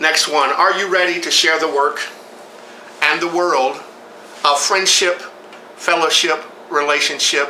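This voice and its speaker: Noticeable background noise and audible room echo surround a man who speaks at a moderate pace and fairly high pitch, with fairly even intonation and long, frequent pauses. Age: 60s. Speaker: preacher. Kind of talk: sermon.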